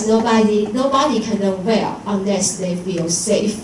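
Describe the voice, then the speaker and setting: A woman with a Taiwanese accent at a fairly slow pace, with audible room echo and noticeable background noise. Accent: Taiwanese Mandarin-accented English. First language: Mandarin Chinese. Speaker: English teacher. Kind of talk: conference presentation. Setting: lecture hall with audience. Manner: halting, frequent fillers and self-corrections.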